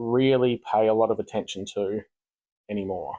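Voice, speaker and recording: The man has a dark, mellow tone. His voice sounds dry and close with no echo. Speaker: gaming YouTuber. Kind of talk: gameplay commentary. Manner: rushed; hesitant, many fillers.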